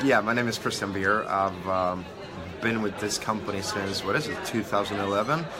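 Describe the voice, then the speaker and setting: A man's voice carries audible room echo, with crowd noise in the background. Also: fairly low pitch for a man, ordinary pitch variation, moderate pace. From Sweden. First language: Swedish. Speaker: online entrepreneur. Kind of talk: interview. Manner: halting.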